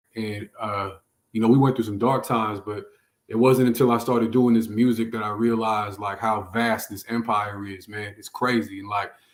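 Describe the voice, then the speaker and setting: A man with an American accent talks at a moderate pace in a medium pitch, his intonation monotone and flat and his loudness swinging widely, in a very clean recording with a silent background. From San Francisco, California. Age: 30s. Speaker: rapper. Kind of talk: casual chat.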